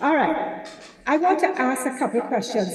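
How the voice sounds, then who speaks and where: A woman speaks at a moderate pace with a Trinidadian accent. Noticeable background noise and audible room echo fill the recording. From Caribbean, Trinidadian family, born Saint Vincent. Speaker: business school director and leadership coach. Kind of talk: conference presentation. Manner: animated.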